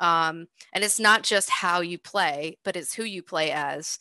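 A woman with an American accent has a bright, sharp tone and ordinary pitch variation, the sound dry with no echo over a quiet background. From Boston. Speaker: game level design director; panelist. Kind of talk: panel discussion. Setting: video call. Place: home room. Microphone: webcam.

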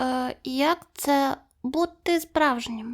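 A female-sounding voice, high in pitch, is put on as a character voice. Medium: read story.

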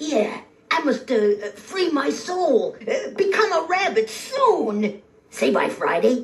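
A put-on character voice, high-pitched with very wide pitch swings, at a very slow pace. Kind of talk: comic character dialogue. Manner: brash, wisecracking salesman bluster.

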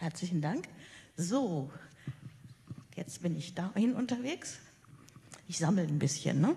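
A woman's somewhat breathy, fairly low voice at a very slow pace, broken by long, frequent pauses. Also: lively intonation. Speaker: panel moderator. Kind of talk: moderated panel discussion. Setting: conference hall with audience.

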